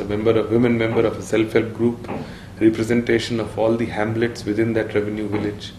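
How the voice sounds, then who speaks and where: Over light background noise, a man speaks at a fairly quick pace. There is audible room echo. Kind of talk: interview answer. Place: home room.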